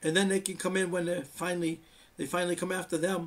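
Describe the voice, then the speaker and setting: Using fairly even intonation, a man speaks at a moderate pace with a high pitch. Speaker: channel host giving updates. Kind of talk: casual monologue update. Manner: halting, repetitive.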